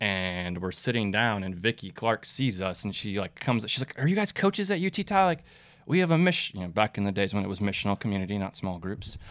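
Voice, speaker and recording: Using a normal speaking voice, a man talks at a fairly quick pace with fairly low pitch and ordinary pitch variation. The recording is very clean, with a silent background. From Minnesota, US. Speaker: campus sports ministry worker, former soccer coach. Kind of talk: casual interview.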